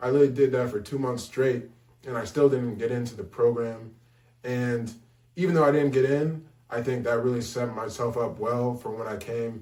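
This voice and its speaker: Room echo can be heard around a man's voice. He speaks at a medium pitch with fairly even intonation. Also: moderate pace. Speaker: college admissions advisor. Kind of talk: advice talk; testimony. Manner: halting; casual.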